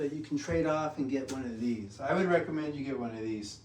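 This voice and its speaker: The man's voice has a dark, mellow tone and fairly high pitch. He speaks at a moderate pace. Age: 60s. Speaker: fitness vlogger. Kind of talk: casual tutorial. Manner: casual, rambling delivery.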